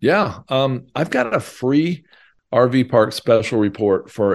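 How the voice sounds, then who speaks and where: A man talks at a fairly slow pace with ordinary pitch variation in an unremarkable speaking voice. The recording is very clean, with a silent background. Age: 50s. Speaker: real estate investor and author. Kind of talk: interview.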